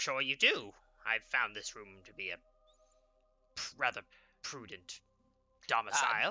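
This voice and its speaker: A man's put-on character voice at medium pitch, with big swings in loudness, long, frequent pauses and faint music in the background. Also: moderate pace. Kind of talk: comic overacting. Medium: actual play. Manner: hesitant, stammering, overly formal.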